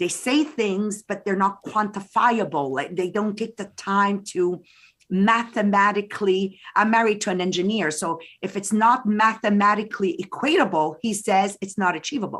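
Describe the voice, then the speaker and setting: A woman speaks at a moderate pace with a medium pitch and ordinary pitch variation. The recording is very clean, with a silent background. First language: French. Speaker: direct sales business leader. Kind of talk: interview.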